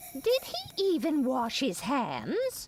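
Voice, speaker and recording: A woman does a put-on character voice at a high pitch. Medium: video game. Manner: grumpy, suspicious.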